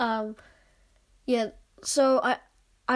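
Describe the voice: A woman's fairly high voice with a slightly mellow tone.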